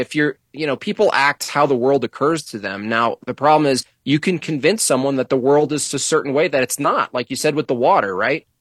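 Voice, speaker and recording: A man with a plain, everyday voice, fairly high in pitch with ordinary pitch variation, at a moderate pace, on a very clean recording with a silent background and a dry, close sound with no echo. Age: 40s. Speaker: political cartoonist. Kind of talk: casual chat.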